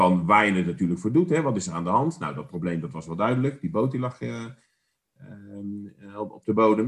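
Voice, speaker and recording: An ordinary speaking voice with lively intonation at a moderate pace. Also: man. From The Hague, Netherlands. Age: 50s. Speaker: podcast co-host. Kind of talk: casual chat.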